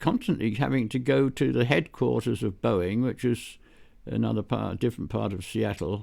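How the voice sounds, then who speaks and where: British-accented male speech. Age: 80s+. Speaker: retired computing pioneer. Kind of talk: interview answer, storytelling. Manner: warm, gentle, enthusiastic; hesitant, many fillers.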